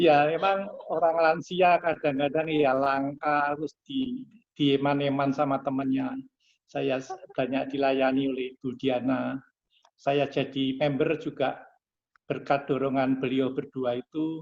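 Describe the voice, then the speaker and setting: Speaking fairly slowly, a man with a fairly high pitch keeps a monotone, flat intonation. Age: 70s. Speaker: team member giving closing speech. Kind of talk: closing speech.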